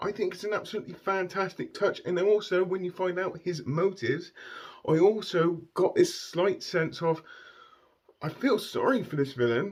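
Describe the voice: Speaking at a moderate pace, a man with a high pitch and a slightly husky edge shows ordinary pitch variation.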